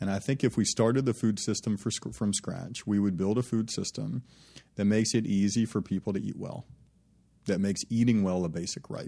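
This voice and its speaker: Fairly low in pitch, a man with an American accent talks in a dark, mellow tone with ordinary pitch variation. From US South, Birmingham, Alabama. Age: 30s. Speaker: startup founder and CEO. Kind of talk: interview. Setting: studio. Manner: halting.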